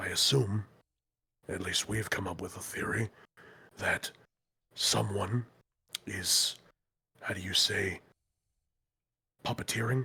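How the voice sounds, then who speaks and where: In a put-on character voice, a raspy man with a fairly low pitch speaks at a fairly slow pace, leaving long, frequent pauses. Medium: actual play. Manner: measured, thoughtful, slightly formal.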